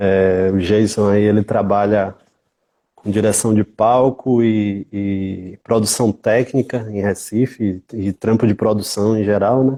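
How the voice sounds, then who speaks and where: A man with a Bahian accent speaks very slowly in a dark, mellow tone, his intonation monotone and flat, with dry, close sound, no echo, and a quiet background. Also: fairly low pitch for a man. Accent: Bahian Brazilian Portuguese. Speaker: music event producer and researcher. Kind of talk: interview.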